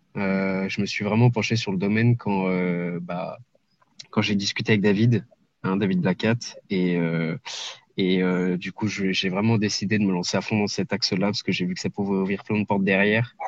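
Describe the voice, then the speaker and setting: A man's fairly low voice keeps a moderate pace, its intonation fairly even. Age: 20s. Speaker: online entrepreneur, scraping specialist. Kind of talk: podcast interview. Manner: hesitant, many filler sounds.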